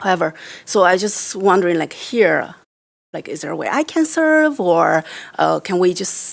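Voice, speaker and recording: At a moderate pace, the speaker talks with a Chinese accent and very wide pitch swings. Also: woman. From China. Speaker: board member, diversity educator. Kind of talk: meeting discussion. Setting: library board meeting. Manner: halting.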